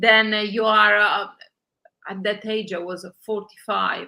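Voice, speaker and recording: A woman speaks with an Italian accent at medium pitch. Her tone is bright and sharp, and her pace fairly slow. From Italy. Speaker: journalist and online magazine founder. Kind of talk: interview. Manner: halting, many filler sounds.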